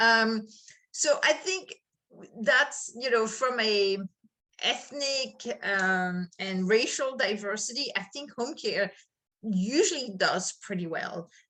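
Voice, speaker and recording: Speaking very slowly, a woman has a French accent and a fairly high pitch. Her intonation is lively and her tone bright and sharp. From France. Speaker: HR consultant. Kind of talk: interview.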